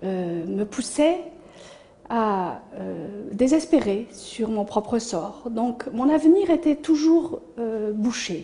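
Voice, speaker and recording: At a very slow pace, a woman speaks in a fairly high voice with very wide pitch swings. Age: 60s. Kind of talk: testimony. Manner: hesitant, frequent fillers.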